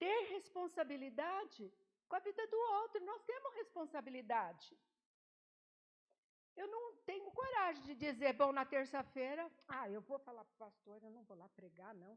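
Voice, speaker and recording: Speaking at a fairly slow pace, a high-pitched woman makes very wide pitch swings and big swings in loudness, with long, frequent pauses. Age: 80s+. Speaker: lay preacher. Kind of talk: sermon. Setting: church.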